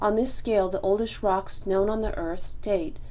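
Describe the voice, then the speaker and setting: Her tone is dark and mellow, and she speaks at a fairly slow pace. The woman's pitch shows ordinary variation. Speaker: college lab instructor. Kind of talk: lecture. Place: office. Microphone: webcam.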